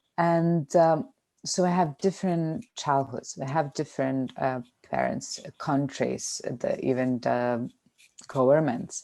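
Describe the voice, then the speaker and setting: A woman with a very deep, low pitch and a dark, mellow tone talks at a very slow pace with ordinary pitch variation, recorded very cleanly against a silent background. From Lithuania. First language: Lithuanian. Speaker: podcast co-host. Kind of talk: casual chat.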